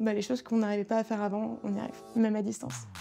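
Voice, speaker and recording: A woman's voice at a fairly high pitch. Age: 30s. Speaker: career changer, pastry student. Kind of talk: testimonial. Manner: hesitant, frequent fillers.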